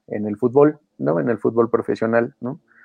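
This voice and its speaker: A man with a medium-pitched voice and ordinary pitch variation speaks while music plays in the background. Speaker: sports podcast co-host. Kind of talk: casual chat.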